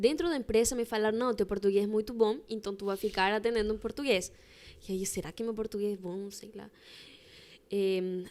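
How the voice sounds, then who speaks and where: This woman has a Spanish accent and a fairly high pitch, speaking fairly quickly with ordinary pitch variation. The recording is very clean, with a silent background. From Chilean Patagonia. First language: Spanish (speaking Portuguese). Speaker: embroiderer. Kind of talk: casual chat.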